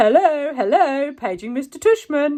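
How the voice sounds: This is a put-on character voice with a high pitch. The pace is moderate.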